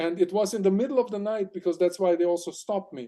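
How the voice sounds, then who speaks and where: A man with a German accent speaks at a fairly quick pace in a high pitch. His tone is dark and mellow, with ordinary pitch variation. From Germany. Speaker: aquatic explorer and crustacean expert. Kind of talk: interview storytelling. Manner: animated.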